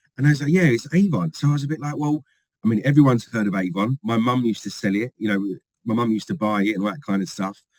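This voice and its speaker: Someone with a London accent talks at a very fast pace with lively intonation. The sound is dry and close, with no echo. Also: man, medium pitch for a man. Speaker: company field trainer. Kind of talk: podcast interview. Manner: animated.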